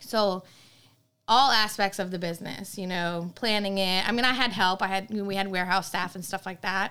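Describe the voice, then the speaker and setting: Over a silent background in a very clean recording, a woman speaks at a moderate pace with a medium pitch, a bright, sharp tone, and fairly even intonation. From Maine. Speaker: event planner and dessert business owner. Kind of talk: interview. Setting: in-person studio.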